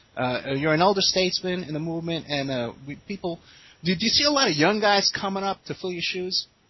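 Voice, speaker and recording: Noticeable background noise sits behind a man who talks fairly quickly in a high pitch. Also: lively intonation. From New York City, South Bronx. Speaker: radio host. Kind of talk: interview.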